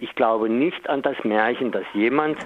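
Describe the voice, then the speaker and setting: This man's pitch moves up and down in an ordinary way. There is noticeable noise behind him. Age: 50s. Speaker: local politician and activist. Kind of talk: interview.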